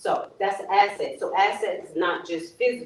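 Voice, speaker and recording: This is a woman speaking with an American accent. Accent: New Jersey-like. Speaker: financial educator, former nurse. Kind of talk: seminar talk. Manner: casual, conversational.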